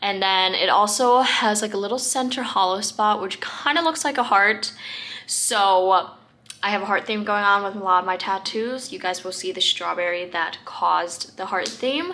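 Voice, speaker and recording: A woman at a medium pitch and moderate pace, ordinary pitch variation, with noticeable background noise. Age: young. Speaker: lifestyle vlogger. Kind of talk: casual vlog talk. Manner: many filler ums.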